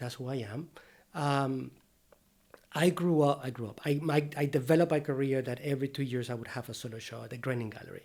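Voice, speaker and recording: A man talks at a very fast pace in a fairly high voice. His intonation is fairly even, while his loudness swings widely. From Venezuela. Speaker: painter and art teacher. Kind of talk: casual interview conversation.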